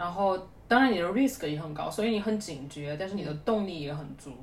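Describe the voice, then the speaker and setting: Over noticeable background noise and audible room echo, a woman talks at a fairly quick pace with lively intonation and a medium pitch. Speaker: user research team lead, former PhD student. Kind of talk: casual chat. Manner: animated.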